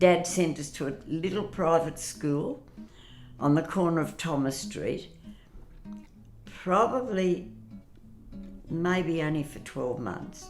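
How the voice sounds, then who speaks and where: A woman's fairly low voice with lively intonation, a very slow pace and long, frequent pauses, over music in the background. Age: 80s+. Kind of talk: interview answer.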